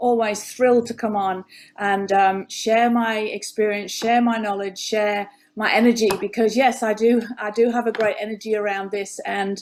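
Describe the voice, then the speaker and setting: A woman's fairly high voice with an English accent. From England. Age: 50s. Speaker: former nurse, health coach. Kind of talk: interview conversation. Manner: animated.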